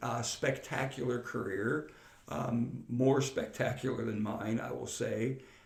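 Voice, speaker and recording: Audible room echo follows a man as he talks very slowly. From western Pennsylvania, Freeport. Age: 60s. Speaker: retired air force chief master sergeant and teacher. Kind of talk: interview conversation. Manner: halting, many repeated words.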